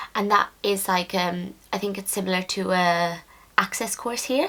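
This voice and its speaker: In a Dublin accent, a woman speaks at a medium pitch and a moderate pace with a bright, sharp tone. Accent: Irish (Dublin). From Ireland, Dublin. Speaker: nursing student vlogger. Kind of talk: casual Q&A vlog.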